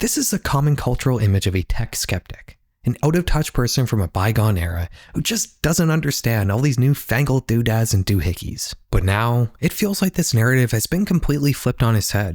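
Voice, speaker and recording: A man at medium pitch talks at a fairly quick clip with hardly any pauses, his voice somewhat breathy and his pitch swinging very widely. The loudness stays very even, and the very clean recording sounds dry and close, with no echo and a silent background. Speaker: YouTube documentary creator. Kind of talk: scripted narration. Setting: home office.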